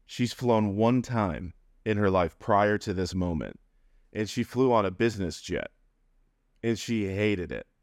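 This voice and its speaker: A man with an American accent speaks at a fairly slow pace and a fairly low pitch, leaving long, frequent pauses. His pitch varies in an ordinary way, and the recording is very clean with a silent background. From upstate New York. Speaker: podcast guest. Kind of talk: casual interview, personal storytelling.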